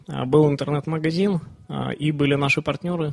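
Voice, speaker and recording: Somewhat breathy, a man's voice sits at a fairly high pitch with fairly even intonation. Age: 30s. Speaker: online bookstore owner, entrepreneur. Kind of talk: interview. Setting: studio. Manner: halting, many fillers.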